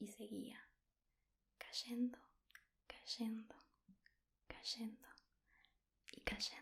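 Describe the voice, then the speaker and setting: The speaker is soft-spoken. The voice sounds somewhat breathy. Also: woman. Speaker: ASMR creator. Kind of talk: soft-spoken ASMR book reading. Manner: soft-spoken, slow, relaxing.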